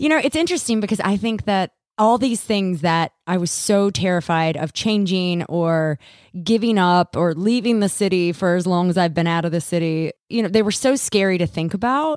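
A woman speaks at medium pitch and a moderate pace in a plain, everyday voice with lively intonation and very even loudness. The recording is very clean with a silent background. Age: 30s. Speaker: podcast co-host. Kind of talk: casual chat.

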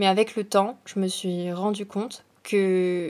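Very slow, monotone, flat delivery from a woman. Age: 20s. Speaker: business student. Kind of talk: casual chat.

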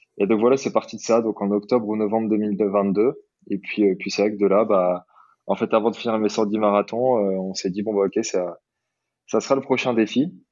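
In a fairly low voice, a man speaks at a moderate pace with fairly even intonation. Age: 30s. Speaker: eco-adventurer and ultra runner. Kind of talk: casual interview. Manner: halting, many fillers.

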